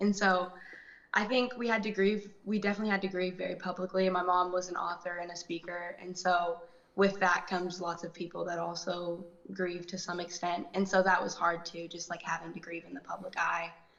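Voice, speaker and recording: A woman speaks at a moderate pace with a medium pitch and monotone, flat intonation. Noticeable background noise runs behind her. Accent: American. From Texas, Dallas. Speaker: actress and singer. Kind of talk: interview. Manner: soft-spoken.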